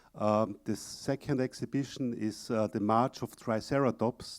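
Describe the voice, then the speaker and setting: A man with an Austrian accent speaks at medium pitch and a moderate pace, with fairly even intonation. The sound is dry and close with no echo, on a very clean recording with a silent background. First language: German. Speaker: exhibit company presenter. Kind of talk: conference presentation. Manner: halting, many fillers.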